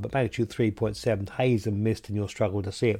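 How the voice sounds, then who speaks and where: A man in a southern English accent, with ordinary pitch variation and a quiet background. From southern England. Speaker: radio host. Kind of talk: radio astronomy show. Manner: halting, many fillers.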